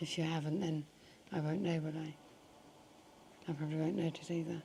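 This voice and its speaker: A woman talks at a fairly quick pace, her pitch very deep and low, her intonation a flat monotone. Noticeable background noise runs behind her. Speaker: hospital patient with tracheostomy. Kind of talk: casual chat. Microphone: extra microphone attached for her quiet voice.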